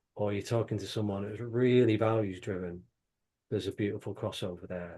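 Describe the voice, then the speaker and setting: A man's fairly low, dark, mellow voice in a Manchester accent, at a moderate pace over a quiet background. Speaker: company CEO. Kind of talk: panel conversation. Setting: video call. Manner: repeats words, animated.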